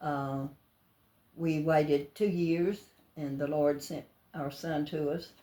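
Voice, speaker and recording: A woman with a coastal Georgia accent speaks at a very slow pace with long, frequent pauses. Her very deep, low voice has a dark, mellow tone and fairly even intonation. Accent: Southern US, coastal Georgia. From US South, Georgia (near Savannah). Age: 90s. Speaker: elderly church member interviewed. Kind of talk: life story interview. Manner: halting.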